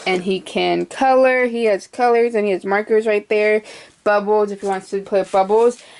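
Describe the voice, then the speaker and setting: A woman at a moderate pace with monotone, flat intonation over noticeable background noise. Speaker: crafter showing her workspace. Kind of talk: casual video tour. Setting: indoors in a craft shed. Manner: hesitant, many fillers.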